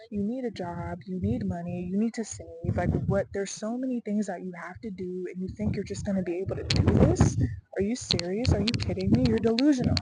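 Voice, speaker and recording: With noticeable background noise behind it, the speech moves fairly quickly with lively intonation. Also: woman, medium pitch for a woman. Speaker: vlogger. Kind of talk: casual vlog monologue. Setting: outdoors on a stair hike. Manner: emotional, halting with fillers.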